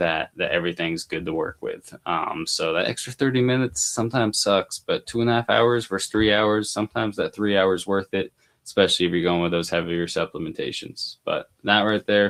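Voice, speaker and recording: An unremarkable speaking voice, this man's is fairly low, moving fairly quickly with hardly any pauses and ordinary pitch variation. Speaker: mushroom grower and educator. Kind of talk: live stream tutorial. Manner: filler-heavy, many ums.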